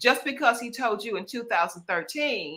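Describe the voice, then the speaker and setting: With a Southern US accent, a woman speaks at a moderate pace in a bright, sharp tone. Her pitch swings very widely. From US South. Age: 60s. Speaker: author and lifestyle strategist. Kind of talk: casual interview.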